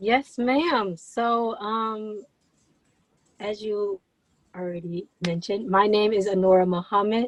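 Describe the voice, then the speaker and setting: A woman speaks at a fairly slow pace with ordinary pitch variation. Her speech has long, frequent pauses. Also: medium pitch for a woman. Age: 20s. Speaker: content creator and young entrepreneur. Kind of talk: interview. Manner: energetic.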